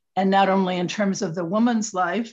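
A woman with an American accent has an ordinary speaking voice at a medium pitch. She talks at a fairly quick pace with ordinary pitch variation. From Michigan, US Midwest. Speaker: attorney and women's advocate. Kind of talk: interview.

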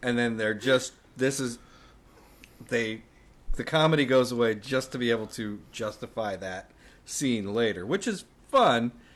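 Pausing long and often, a man speaks at a fairly slow pace and medium pitch with ordinary pitch variation. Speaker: podcast co-host. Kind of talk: casual chat. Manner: halting.

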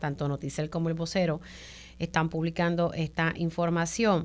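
On a very clean recording with a silent background, a woman with an unremarkable speaking voice and a fairly low pitch talks at a moderate pace. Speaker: radio journalist and host. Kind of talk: radio talk show interview.

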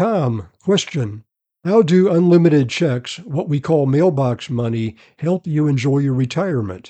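Fairly slow and fairly high-pitched, a man speaks in a plain, everyday voice. His intonation is lively. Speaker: podcast host, retirement specialist. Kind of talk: interview with sales pitch tone. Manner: polished, promotional.

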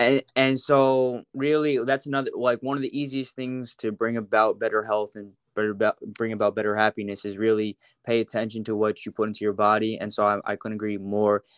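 A man with a plain, everyday voice at medium pitch and a fairly quick pace, in a dry, close sound with no echo over a quiet background. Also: fairly even intonation. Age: 20s. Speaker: social media content creator. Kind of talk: casual interview.

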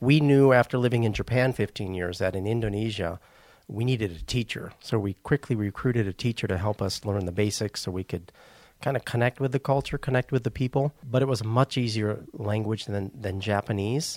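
This man has a slight Wisconsin accent, medium pitch and ordinary pitch variation at a fairly quick pace. The sound is dry and close with no echo, on a very clean recording with a silent background. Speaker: missionary. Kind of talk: casual interview.

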